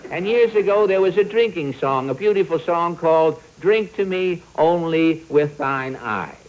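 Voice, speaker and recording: With ordinary pitch variation and a moderate pace, a high-pitched man talks while noticeable background noise is present. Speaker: comedian, show host. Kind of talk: comic monologue.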